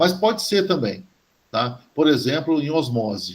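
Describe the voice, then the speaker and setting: A man talks with very wide swings in pitch. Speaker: chemistry professor. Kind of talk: university lecture. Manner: halting, many fillers and restarts.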